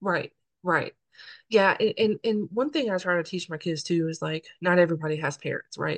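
A woman at a moderate pace, a normal speaking voice with fairly low pitch and ordinary pitch variation, against a quiet background. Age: 30s. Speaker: podcast host. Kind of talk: interview.

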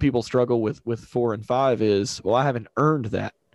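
Here a man with an unremarkable speaking voice talks at a moderate pace, with medium pitch and ordinary pitch variation. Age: 30s. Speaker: church podcast host. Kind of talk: casual religious discussion.

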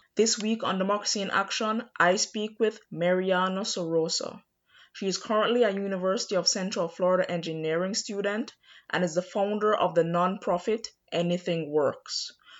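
This is an unremarkable speaking voice at a moderate pace. The intonation stays fairly even. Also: woman, medium pitch for a woman. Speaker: podcast host. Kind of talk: interview.

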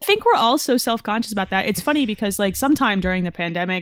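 Talking at a very fast pace, a woman sounds animated, her intonation lively, on a very clean recording with a silent background. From US, Italian-American. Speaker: podcast co-host of a gaming show. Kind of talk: casual podcast interview. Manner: loud, animated.

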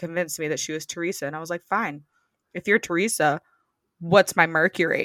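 The delivery is fairly quick with a bright, sharp tone and ordinary pitch variation, captured in a very clean recording with a silent background and dry, close sound with no echo. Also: woman. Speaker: podcast co-host. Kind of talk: casual chat.

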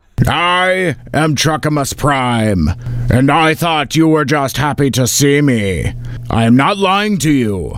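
A man puts on a character voice with a fairly high pitch. He speaks at a fairly slow pace. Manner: formal, grandiose, then crude.

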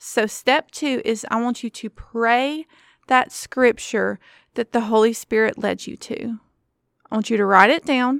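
A woman speaks at a fairly slow pace and fairly high pitch in a plain, everyday voice. The very clean recording has a silent background and a dry, close sound with no echo. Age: 40s. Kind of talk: casual faith-based solo talk.

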